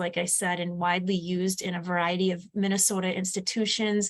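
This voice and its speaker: A woman speaks at medium pitch. She has an American accent. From Upper Peninsula of Michigan. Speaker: education program specialist. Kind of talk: webinar presentation. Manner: fast.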